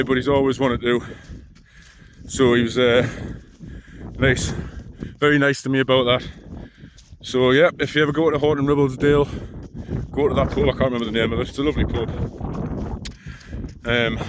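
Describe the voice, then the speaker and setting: The speaker mumbles at a fairly quick pace with fairly even intonation, broken by long, frequent pauses. Noticeable background noise is present. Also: man, medium pitch for a man. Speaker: long-distance hiker vlogger. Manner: mumbles, speaks indistinctly.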